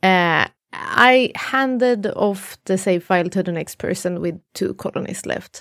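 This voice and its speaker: A woman uses a normal speaking voice at medium pitch, with ordinary pitch variation. She speaks at a fairly slow pace in a dry, close sound with no echo. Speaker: streamer. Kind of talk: casual chat. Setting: video call.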